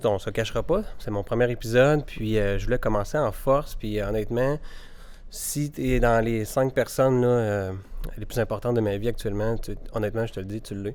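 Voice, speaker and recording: A man with a Quebec accent talks at a fairly quick pace. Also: medium pitch for a man, fairly even intonation. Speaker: podcast host and mortgage broker. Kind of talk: casual interview. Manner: hesitant, many fillers.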